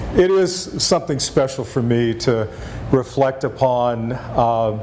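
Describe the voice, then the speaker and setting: A man with an American accent speaks at medium pitch with ordinary pitch variation, with audible room echo and noticeable background noise. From Texas. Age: 60s. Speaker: former national park superintendent. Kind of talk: lecture.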